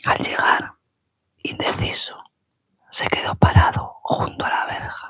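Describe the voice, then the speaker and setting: The speaker is whispering. The pace is very slow. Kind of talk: ASMR book reading. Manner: whispered.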